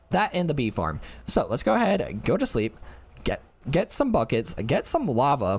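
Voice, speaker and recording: His voice sits fairly high for a man and carries vocal fry. The pitch of this male speaker leaps up and down very widely. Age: 20s. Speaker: gaming streamer. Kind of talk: live gameplay commentary. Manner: fast.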